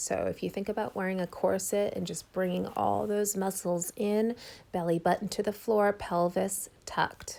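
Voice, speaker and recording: This woman speaks at a moderate pace in a medium pitch with vocal fry and fairly even intonation, on a very clean recording with a silent background. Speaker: fitness instructor. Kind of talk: workout tutorial. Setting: home bedroom.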